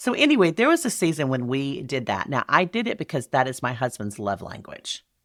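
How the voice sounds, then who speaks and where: A woman talks at a fairly quick pace with hardly any pauses, in a Southern US accent. Her pitch is very deep and low, with very wide pitch swings. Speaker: speaker and event business expert. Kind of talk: podcast guest interview. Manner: witty, sarcastic.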